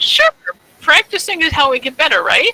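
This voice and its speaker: A woman does a put-on character voice at an extremely high pitch. It swings very widely in pitch at a moderate pace. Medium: actual play. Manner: mild, forgiving.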